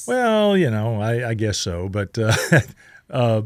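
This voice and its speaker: A man with a Southern US accent, fairly low pitch, and fairly slow pace, in a very clean recording with a silent background. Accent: Southern American. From Southern United States. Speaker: radio host and tribute performer. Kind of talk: interview answer. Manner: hesitant, conversational.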